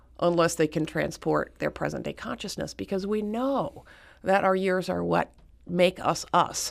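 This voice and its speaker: An ordinary speaking voice at a moderate pace, in a very clean recording with a silent background. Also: woman. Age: 60s. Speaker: author and activist. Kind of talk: radio interview.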